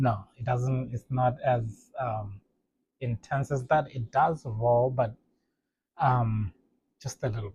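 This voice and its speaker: A somewhat breathy voice in a Botswana accent, very slow with long, frequent pauses, fairly even intonation, big swings in loudness and a dry, close sound with no echo. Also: man, medium pitch for a man. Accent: Botswana (Setswana) English. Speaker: language teacher. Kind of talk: tutorial. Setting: home, kids' play area. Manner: halting, repetitive.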